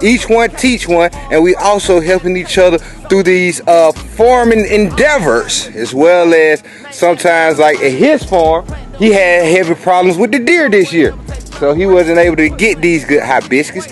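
Over faint background music, a man speaks at a moderate pace in a dry sound with no echo. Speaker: urban farmer vlogger. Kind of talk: casual vlog chat. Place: garden. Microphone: phone near.

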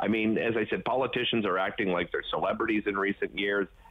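Noticeable background noise sits behind this man. He speaks at a medium pitch with a Canadian accent. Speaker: TV host. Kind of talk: casual chat. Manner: halting, many fillers.

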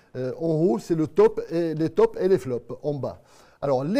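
A man talks at a fairly slow pace with a Marrakech accent. His tone is dark and mellow against a quiet background. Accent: Moroccan (Marrakech). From Morocco. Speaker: TV show host. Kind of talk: live web TV magazine hosting. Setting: TV studio set.

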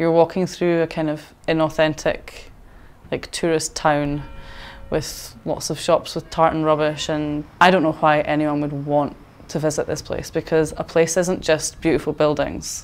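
A woman with a Scottish accent, a very deep, low pitch and monotone, flat intonation, at a moderate pace over music in the background. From Scotland. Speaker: community worker. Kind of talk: interview. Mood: frustrated, reflective. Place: home room. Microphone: lapel.

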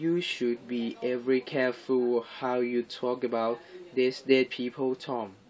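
Reading voice, natural in tone

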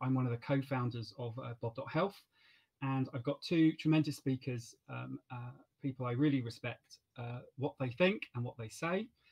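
Music plays behind a man's voice. He talks at a moderate pace. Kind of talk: event moderation introduction. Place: home room. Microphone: webcam.

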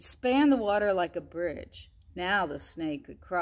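Lively intonation in an unforced reading voice

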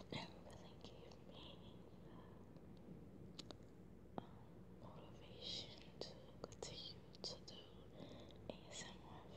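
Over loud background noise, a woman whispers in a soft-spoken way at a very slow pace. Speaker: ASMR creator. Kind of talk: soft-spoken casual vlog chat. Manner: soft ASMR whisper, close to mic. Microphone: phone near.

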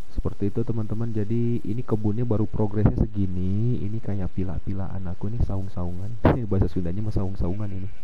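Amid noticeable background noise and audible room echo, a man with a fairly low pitch rushes along at a very fast pace with hardly any pauses. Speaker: gaming streamer. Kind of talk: gameplay commentary. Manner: casual, animated.

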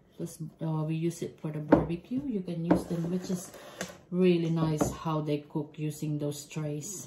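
Very deep, low female speech at a fairly slow pace, with fairly even intonation, against loud background noise. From Philippines. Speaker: cooking vlogger. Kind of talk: cooking tutorial. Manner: casual. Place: kitchen. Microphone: camera far.

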